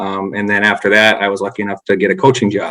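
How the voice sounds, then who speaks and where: This man has a fairly low pitch and a bright, sharp tone. He speaks with a North Dakota accent. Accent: Upper Midwest (North Dakota). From North Dakota, Grand Forks. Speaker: former baseball coach. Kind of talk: podcast interview.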